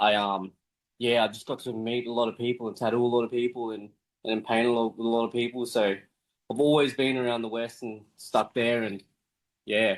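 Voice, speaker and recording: The delivery is monotone and flat. It moves along at a fairly quick pace. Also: man, medium pitch for a man. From Western Sydney, Australia (born in Philippines). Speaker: tattoo artist. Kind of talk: casual chat.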